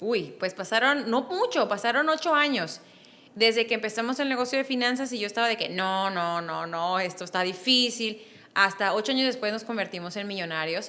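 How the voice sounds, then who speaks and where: A woman speaks with a fairly high pitch and lively intonation. Her tone is bright and sharp. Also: moderate pace. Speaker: business strategist and author. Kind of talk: interview.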